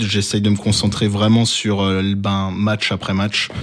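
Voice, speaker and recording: Recorded very cleanly against a silent background, a man speaks at a fairly slow pace. His fairly low voice stays monotone and flat. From Alsace, France. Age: 30s. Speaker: youth basketball coach. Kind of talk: interview.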